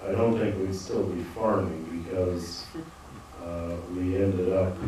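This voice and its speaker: Very slowly, a man speaks with a very deep, low voice. Strong room echo and light background noise surround him. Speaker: farmer on a panel. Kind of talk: panel discussion answer. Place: hall. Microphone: handheld.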